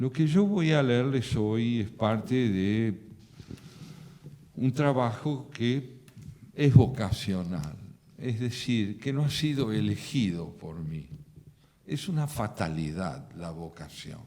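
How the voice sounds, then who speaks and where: A man with a dark, mellow tone speaks at a very slow pace, leaving long, frequent pauses. His pitch swings very wide and his loudness swings a lot. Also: medium pitch for a man. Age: 70s. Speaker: poet. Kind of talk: reflective talk. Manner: formal.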